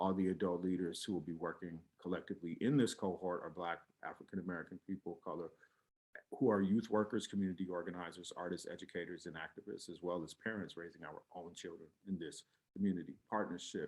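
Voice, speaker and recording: The delivery is very fast, with big swings in loudness but fairly even intonation. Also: man, very deep, low pitch for a man. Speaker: nonprofit president and hip hop artist. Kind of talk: grant application video. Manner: hesitant with fillers.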